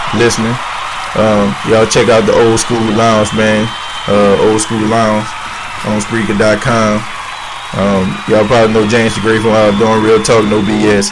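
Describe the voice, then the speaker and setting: A man talks at a moderate pace in a fairly low pitch, with monotone, flat intonation and very even loudness. Audible room echo and crowd noise fill the background. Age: 20s. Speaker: internet radio host. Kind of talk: casual monologue. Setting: online radio show. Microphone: muffled mic, levels off.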